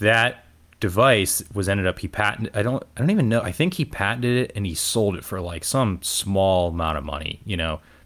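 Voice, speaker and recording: An unremarkable speaking voice with an American accent, at a fairly quick pace with ordinary pitch variation, on a very clean recording with a silent background. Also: man, fairly low pitch for a man. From Ohio, Cleveland suburbs. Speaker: radiology resident and podcaster. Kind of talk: casual interview chat.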